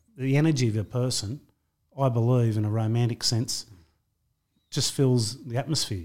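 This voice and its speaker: A man with an Australian accent talks at a medium pitch. The recording is very clean, with a silent background. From Australia, western Sydney. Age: 50s. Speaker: record-breaking boxer, mental health advocate. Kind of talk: interview.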